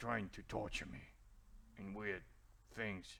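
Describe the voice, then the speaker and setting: This man uses a put-on character voice. It sounds raspy and sits at a fairly low pitch. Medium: actual play. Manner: halting, broken grammar.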